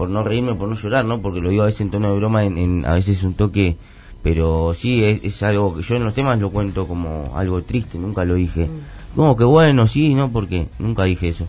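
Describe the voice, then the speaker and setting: Talking at a fairly quick pace, a man uses lively intonation with a fairly low pitch and a dark, mellow tone. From Argentina, Buenos Aires area (La Matanza). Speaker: rapper. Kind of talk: interview. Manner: halting, many fillers.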